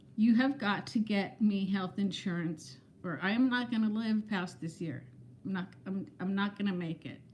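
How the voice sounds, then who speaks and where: Her pitch is medium, with ordinary variation. This woman's voice comes across as somewhat breathy. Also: moderate pace. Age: 60s. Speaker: vlogger. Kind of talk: casual livestream chat. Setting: livestream. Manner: animated.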